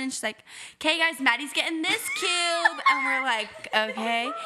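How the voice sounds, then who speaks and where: Over noticeable background noise, a woman with an American accent uses a raised, projected, high voice with very wide pitch swings. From Arizona. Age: 20s. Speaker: podcast co-host, hairstylist. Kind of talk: casual chat.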